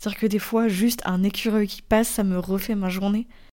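A woman's medium-pitched voice with a dark, mellow tone, monotone, flat intonation and a moderate pace, in a very clean recording with a silent background. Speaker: podcaster. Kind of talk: personal monologue. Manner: casual, with hesitations.

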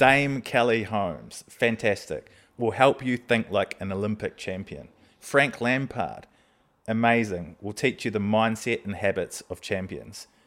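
An ordinary speaking voice from a man, medium in pitch, with ordinary pitch variation and a fairly slow pace. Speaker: podcast host. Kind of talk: casual interview chat.

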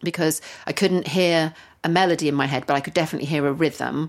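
A woman with fairly low pitch talks in a normal speaking voice on a very clean recording with a silent background. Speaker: lyricist and co-host. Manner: playful, bubbly.

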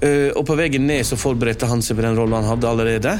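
A man's medium-pitched voice at a fairly quick pace, with music in the background. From Norway, Lærdal (Sogn). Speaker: journalist and author. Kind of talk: interview.

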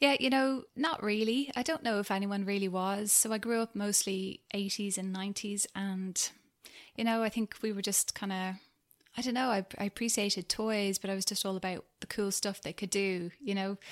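A woman speaks with a Dublin accent at medium pitch and a moderate pace, her pitch varying in an ordinary way, in a very clean recording with a silent background. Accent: Dublin Irish. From Ireland, Dublin. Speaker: founder of a toy-lending venture. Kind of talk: interview.

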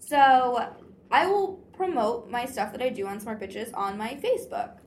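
A woman speaks at a fairly slow pace in a high voice. Her pitch swings very widely. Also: big swings in loudness. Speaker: romance book blogger. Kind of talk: casual chat. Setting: in-person recording at a conference.

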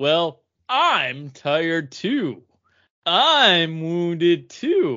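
A put-on character voice at middle pitch. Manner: dramatic, whining.

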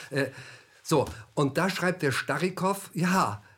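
Very slowly, a man speaks with lively intonation. The recording is very clean with a silent background. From Germany. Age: 70s. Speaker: author and former army officer. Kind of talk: interview. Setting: studio. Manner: halting.

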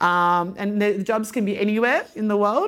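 Heard in a very clean recording with a silent background, a woman with an Australian accent keeps her intonation fairly even. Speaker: business executive. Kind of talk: guest interview talk at a live event. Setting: live event with audience. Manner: casual, filler-heavy.

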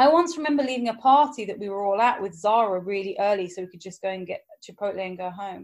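A woman races along at a very fast pace with hardly any pauses. Her intonation is lively and her loudness swings widely. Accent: English. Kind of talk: casual chat.

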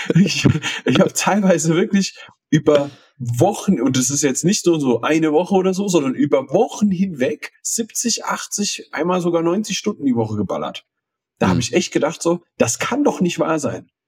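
A man talks at a moderate pace with a high voice. His intonation is lively. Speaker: podcast co-host. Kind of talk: casual chat. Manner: halting, stammering.

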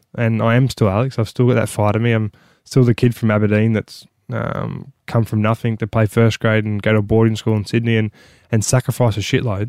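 A man with an Australian accent speaks at a fairly quick pace in a monotone, flat intonation. The recording is very clean with a silent background and a dry, close sound with no echo. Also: medium pitch for a man. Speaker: former rugby league player. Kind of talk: casual chat.

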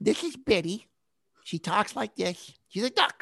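Put on as a character voice, this raspy delivery sits at a middle pitch and moves at a fairly slow pace. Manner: lisping.

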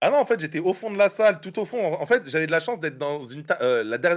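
This man talks fairly quickly with very wide pitch swings, in a very clean recording over a silent background. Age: 20s. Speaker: comedian. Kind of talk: casual chat.

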